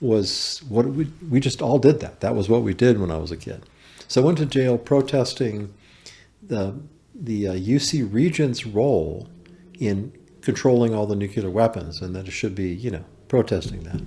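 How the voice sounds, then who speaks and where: A somewhat breathy man's voice of medium pitch, dark and mellow in tone, with lively intonation at a moderate pace. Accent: American. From US West Coast, Berkeley, California. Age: 60s. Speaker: carpenter and small business owner. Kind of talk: podcast interview, personal testimony.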